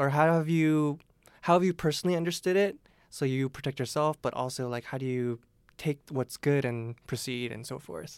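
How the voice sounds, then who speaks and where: Here a man talks in a plain, everyday voice at a fairly high pitch, moderate pace and lively intonation. The recording is very clean with a silent background and a dry, close sound with no echo. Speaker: podcast host. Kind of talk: casual interview chat.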